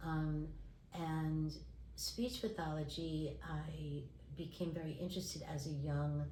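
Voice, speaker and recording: A woman in an American accent at a fairly slow pace, very even in loudness, with audible room echo. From New York, Brooklyn. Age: 60s. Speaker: speech pathologist and textile artist. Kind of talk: interview.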